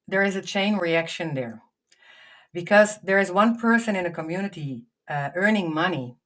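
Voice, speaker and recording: A woman with a Dutch accent, medium in pitch, with lively intonation. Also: very clean recording, silent background. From Netherlands. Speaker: foundation founder and healthcare leader. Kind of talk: podcast interview. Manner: halting, many fillers and repetitions.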